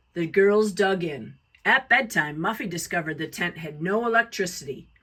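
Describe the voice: This woman's voice sits fairly low in pitch and carries a bright, sharp tone. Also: lively intonation, moderate pace.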